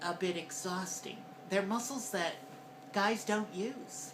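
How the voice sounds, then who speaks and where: A woman's medium-pitched voice at a very slow pace, with lively intonation and noticeable background noise. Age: 50s. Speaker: transgender voice coach vlogger. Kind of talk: voice training tutorial. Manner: hesitant, conversational.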